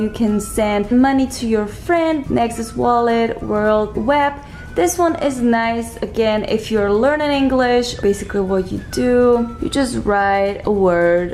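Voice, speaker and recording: With a non-native accent, a woman speaks very slowly at a fairly high pitch and ordinary pitch variation, amid noticeable background noise and audible room echo. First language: not English. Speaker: lifestyle YouTuber. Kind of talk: casual tutorial. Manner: casual, conversational with fillers.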